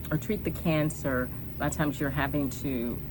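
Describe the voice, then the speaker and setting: A woman's voice carries audible room echo. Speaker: cancer survivor vlogger. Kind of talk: personal vlog. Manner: soft-spoken, hesitant with many ums.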